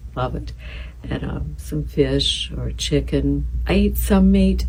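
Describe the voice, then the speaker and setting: Soft-spoken and calm, a woman with a very deep, low voice talks at a fairly slow pace in a flat monotone, with noticeable background noise. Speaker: boutique shop owner. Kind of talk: casual talk about fashion and daily routine. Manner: soft-spoken, calm.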